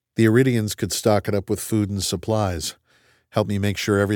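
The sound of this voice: Over a quiet background, the speaker uses an unforced reading voice.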